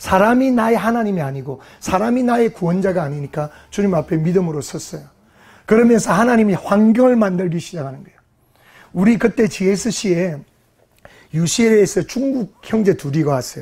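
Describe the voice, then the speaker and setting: The voice moves at a fairly quick pace with lively intonation in a very clean recording with a silent background. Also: man. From South Korea, Gyeongsang region. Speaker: pastor. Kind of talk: sermon.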